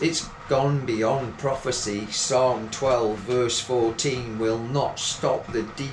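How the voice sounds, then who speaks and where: A man speaks at a very slow pace and medium pitch with fairly even intonation. The recording carries audible room echo and noticeable background noise. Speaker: poet. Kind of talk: poetry reading.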